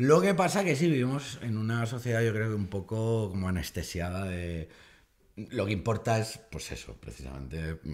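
Against a quiet background, a man talks at a moderate pace with very wide pitch swings. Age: 40s. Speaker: comedian. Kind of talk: casual chat. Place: studio. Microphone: studio mic.

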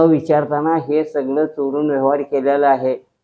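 A man speaks with a fairly high pitch. His intonation is flat and monotone. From Dharashiv district, Maharashtra. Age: old. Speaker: farmer. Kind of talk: testimony. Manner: halting.

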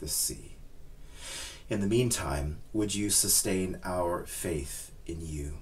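The speaker is a man with a very deep, low pitch. He talks at a very slow pace. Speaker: minister leading a service. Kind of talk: prayer and scripture reading. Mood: calm, reverent. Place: home room.

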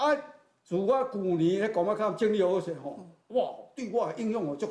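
A man with a Taiwanese accent speaks at a moderate pace in a high pitch with a dark, mellow tone. The background is quiet, though room echo is audible. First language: Taiwanese Hokkien (speaking Chinese). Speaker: retired teacher, temple committee member; interview guest. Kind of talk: interview testimony. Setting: temple. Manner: halting. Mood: warm, earnest. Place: hall. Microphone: lapel.

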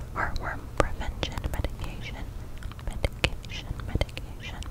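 A soft-spoken woman whispering at a moderate pace, dry with no echo, over loud background noise. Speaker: ASMR creator. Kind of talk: soft-spoken casual vlog chat. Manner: soft close-mic ASMR whisper. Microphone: studio mic.

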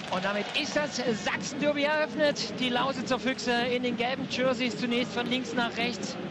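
A man's extremely high-pitched voice at a moderate pace, with noticeable background noise. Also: hardly any pauses. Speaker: ice hockey commentator. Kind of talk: sports commentary.

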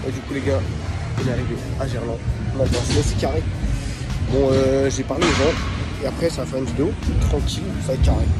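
Over loud background music, the speech moves at a fairly quick pace in a dry sound with no echo. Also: man. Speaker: scooter rider vlogger. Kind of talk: casual vlog chat. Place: hall. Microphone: phone near.

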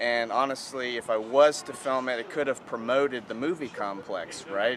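Over light background noise, a man speaks with fairly even intonation. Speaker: vlogger. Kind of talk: casual vlog chat. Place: street. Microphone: phone near.

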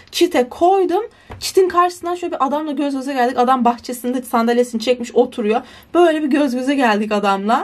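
High-pitched and animated, a woman talks at a fairly quick pace with lively intonation. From Turkey. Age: young. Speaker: student vlogger. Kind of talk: casual vlog. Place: home room. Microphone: phone near.

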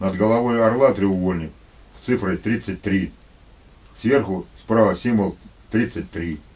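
Taking long, frequent pauses, a man speaks very slowly with a fairly low pitch and ordinary pitch variation. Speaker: lecturer on conspiracy theories. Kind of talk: lecture. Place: home room.

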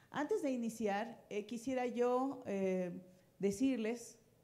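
A woman speaks in a dark, mellow tone. Her pitch shows ordinary variation. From Mexico. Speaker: education researcher; speaker. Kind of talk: conference talk. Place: hall. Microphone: handheld.

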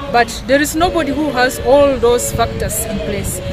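Over clear music in the background, a woman speaks at a moderate pace with ordinary pitch variation in a dry sound with no echo. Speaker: interviewee. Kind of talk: interview answer. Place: garden. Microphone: camera far.

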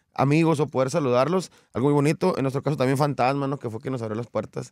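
A man talking at a very fast pace, with ordinary pitch variation and a dry sound with no echo. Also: quiet background. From Mexico, Coahuila. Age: 30s. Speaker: regional Mexican singer; guest. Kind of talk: interview. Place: studio. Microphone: studio mic.

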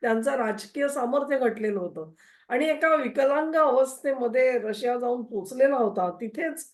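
This woman speaks in a high pitch with ordinary pitch variation. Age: old. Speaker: political commentator. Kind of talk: political analysis monologue.

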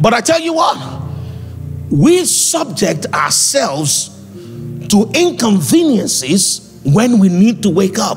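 Over clear background music, a man with a Nigerian accent speaks at a very slow pace, his high pitch swinging very widely. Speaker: preacher. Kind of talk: sermon. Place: church. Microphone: handheld.

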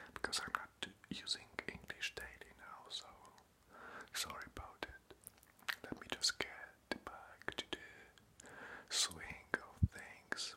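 Whispering and soft-spoken, a man talks at a very slow pace with long, frequent pauses. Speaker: ASMR creator. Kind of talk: whispered casual vlog chat. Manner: soft close whisper, apologetic. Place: home room. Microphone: phone near.

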